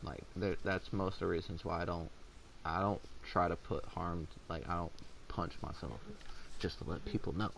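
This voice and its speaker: A man talks with vocal fry. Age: 20s. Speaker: gaming livestreamer. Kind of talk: casual chat. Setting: livestream while gaming. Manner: halting.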